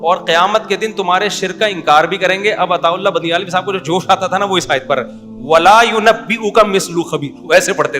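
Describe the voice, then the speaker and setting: Over music in the background, a man with a high pitch speaks with lively intonation. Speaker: Islamic scholar. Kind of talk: religious sermon.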